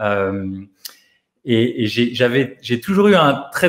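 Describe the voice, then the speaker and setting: At a very slow pace, a man speaks with lively intonation. His pitch sits in the medium range. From France, Paris area. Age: 40s. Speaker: physiotherapist and life coach, author. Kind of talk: radio interview. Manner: hesitant, many repetitions and fillers.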